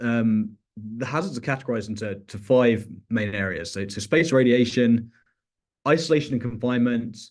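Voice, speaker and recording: At a moderate pace, a man with a British accent talks at a medium pitch. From UK. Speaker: researcher. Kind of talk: research talk. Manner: halting, many fillers and repetitions.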